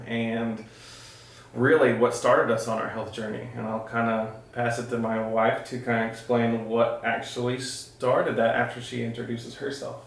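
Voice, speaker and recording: A man with an American accent speaks at a moderate pace and medium pitch in a monotone, flat intonation. The room echo is audible and the background noise is noticeable. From Texas. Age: 30s. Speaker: IT engineer and health vlogger. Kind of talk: casual vlog introduction. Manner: hesitant, many filler words.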